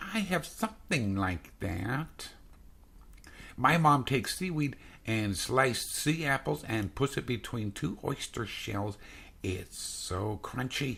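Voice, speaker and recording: In a very clean recording with a silent background, a man does a put-on character voice at a medium pitch and a fairly slow pace. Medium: read story.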